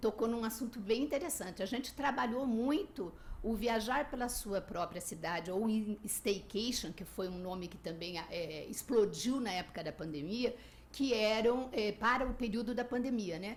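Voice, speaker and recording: The woman's pitch is fairly high and her intonation lively. She talks at a fairly slow pace amid noticeable background noise. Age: 60s. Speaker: travel podcaster and blogger. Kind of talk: radio interview.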